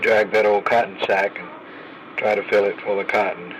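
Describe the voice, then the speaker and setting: Over noticeable background noise, a man with an American accent and a fairly low pitch talks at a moderate pace. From Oklahoma. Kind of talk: personal memoir storytelling.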